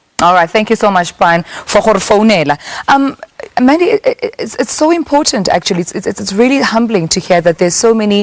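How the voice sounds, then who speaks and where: A woman talks at a fairly quick pace with a fairly high pitch and very wide pitch swings. Noticeable background noise is present. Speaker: TV talk show host. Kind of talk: live TV talk show with call-ins.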